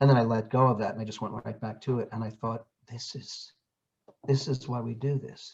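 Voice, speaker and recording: Fairly quickly and in a flat monotone, a man with a somewhat breathy, medium-pitched voice speaks. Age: 60s. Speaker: actor, audiobook narrator and acting coach. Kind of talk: casual chat.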